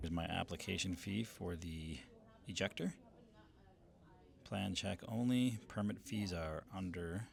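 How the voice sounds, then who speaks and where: Speaking with long, frequent pauses, a man uses a very deep, low pitch and ordinary pitch variation. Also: fairly slow pace. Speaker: content creator / homeowner doing DIY permit. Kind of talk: vlog narration. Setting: city government building.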